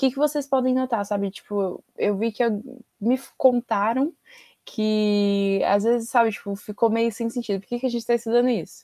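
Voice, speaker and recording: This woman's voice has a dark, mellow tone and a fairly high pitch, and her intonation stays fairly even. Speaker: history teacher for university-prep course. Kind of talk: online lecture. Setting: recorded video lesson with screen share. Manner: fast.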